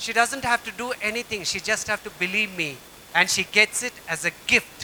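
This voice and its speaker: A man raises and projects his voice. His pitch varies in an ordinary way. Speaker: pastor. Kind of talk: sermon.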